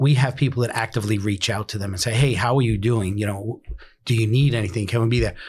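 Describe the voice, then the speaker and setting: On a very clean recording with a silent background, a man with an American accent speaks very fast at a medium pitch, somewhat breathy, with fairly even intonation. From New York City (Bronx). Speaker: emergency dispatch director. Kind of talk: casual interview.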